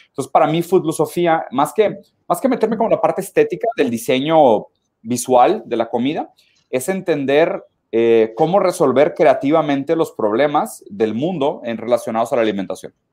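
With a dark, mellow tone, a man speaks at a moderate pace, his fairly high pitch swinging very widely. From southern Brazil (Caxias do Sul). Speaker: philosophy commentator. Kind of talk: casual interview chat.

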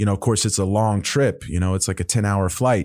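With an American accent and an unremarkable speaking voice, a man speaks at a fairly low pitch with fairly even intonation on a very clean recording with a silent background. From Oklahoma. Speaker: jiu-jitsu world champion. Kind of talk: casual interview.

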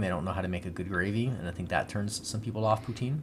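A man talks at a fast pace with low pitch.

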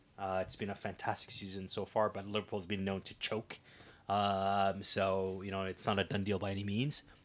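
A man with a Canadian accent speaks in monotone, flat intonation on a very clean recording with a silent background. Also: fairly low pitch for a man, moderate pace. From Ottawa, Canada. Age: 30s. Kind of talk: interview. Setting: studio.

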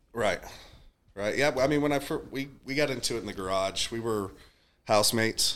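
A man with a Texan accent speaks at medium pitch with ordinary pitch variation and a fairly quick pace. Long, frequent pauses break up his speech on a very clean recording with a silent background. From Texas. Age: 30s. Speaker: strength and conditioning coach. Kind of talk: casual chat.

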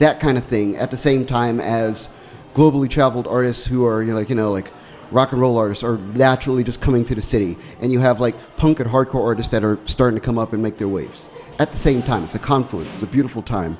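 Noticeable background noise sits behind a man talking at a very fast pace. He has an American accent, a medium pitch and ordinary pitch variation. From Washington, D.C. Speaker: radio host. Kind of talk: casual chat. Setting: studio.

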